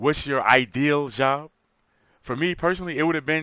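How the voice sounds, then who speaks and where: Ordinary pitch variation at a moderate pace. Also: man. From US Northeast (Newark, New Jersey). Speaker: podcast co-host, channel owner. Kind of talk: casual chat.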